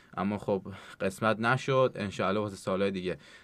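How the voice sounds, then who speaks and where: A plain, everyday voice at a fairly quick pace, with fairly even intonation over a quiet background. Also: man. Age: 20s. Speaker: CrossFit athlete. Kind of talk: interview.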